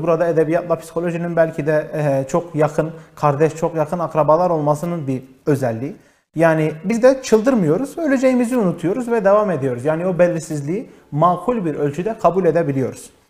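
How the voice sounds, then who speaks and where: Lively intonation comes through at a fairly quick pace in a very clean recording with a silent background. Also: man. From Diyarbakır, southeastern Turkey. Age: 20s. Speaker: psychological counselor and TV show host. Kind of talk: live TV talk show monologue. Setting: TV studio, live broadcast.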